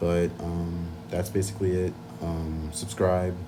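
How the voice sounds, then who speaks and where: With audible room echo behind him, a man speaks in a monotone, flat way at a very deep, low pitch. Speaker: anime video essayist. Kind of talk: casual chat.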